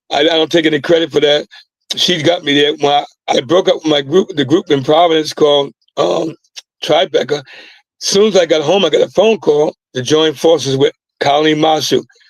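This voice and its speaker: A fairly high-pitched male voice, dry and close with no echo. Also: fairly even intonation, fairly quick pace. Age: 60s. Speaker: singer and recording artist. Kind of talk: casual interview chat. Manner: halting, many fillers.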